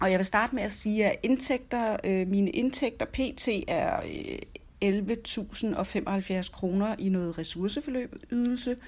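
A woman's somewhat breathy, fairly high voice at a very slow pace, with very even loudness and ordinary pitch variation. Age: 40s. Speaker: personal finance podcaster. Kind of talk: casual monologue. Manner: hesitant with many fillers.

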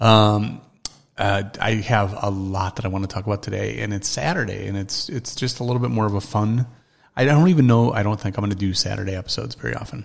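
A man speaks at a fairly quick pace in a fairly low, somewhat breathy voice with ordinary pitch variation. The recording is very clean, with a silent background. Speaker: podcast host. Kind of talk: casual solo talk. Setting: at home early morning. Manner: talking quieter than usual; hesitant, many fillers.

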